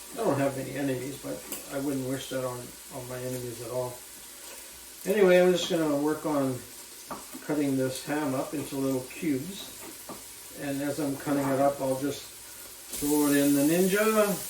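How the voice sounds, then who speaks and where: A man speaks at a moderate pace in a fairly high voice, with ordinary pitch variation and a relaxed tone. Long, frequent pauses break up his speech, with noticeable background noise and audible room echo. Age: 70s. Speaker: cooking vlogger. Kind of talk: casual cooking vlog chat. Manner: relaxed, hesitant with fillers and repeats.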